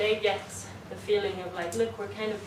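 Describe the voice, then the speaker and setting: A woman is recorded with audible room echo. There is noticeable background noise as well. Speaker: cinema manager. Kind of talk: conference presentation.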